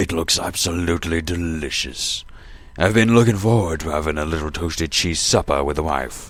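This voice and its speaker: In a put-on character voice, a man speaks at a moderate pace with a very deep, low pitch. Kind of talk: audio drama dialogue. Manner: pompous.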